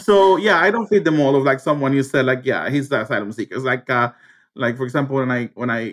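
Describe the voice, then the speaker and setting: A man with a Spanish accent talks very fast at a medium pitch, his pitch rising and falling in an ordinary way. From Cuba. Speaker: teacher and former asylum seeker. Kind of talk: interview. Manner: halting, many fillers.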